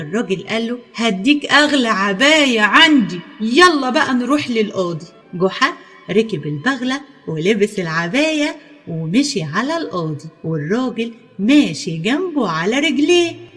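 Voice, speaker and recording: Music plays in the background as a woman with an Egyptian accent speaks very slowly at a fairly high pitch, her voice making very wide pitch swings. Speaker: storyteller. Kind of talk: children's folk tale narration.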